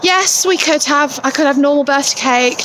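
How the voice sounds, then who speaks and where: Noticeable background noise behind a woman with ordinary pitch variation. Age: 40s. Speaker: vlogger. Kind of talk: casual vlog. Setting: outdoors. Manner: rambling.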